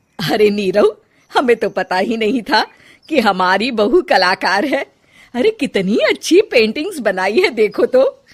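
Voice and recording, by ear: In a cartoonish character voice, a woman speaks at a fairly slow pace with a slightly husky edge. Her fairly high pitch makes big swings.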